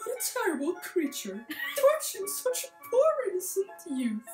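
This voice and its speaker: A put-on character voice at an extremely high pitch over clear music in the background. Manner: gentle, reassuring.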